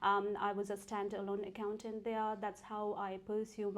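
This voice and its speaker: A woman speaks at a medium pitch with a Nepali accent. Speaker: tax accountant and entrepreneur. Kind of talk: interview.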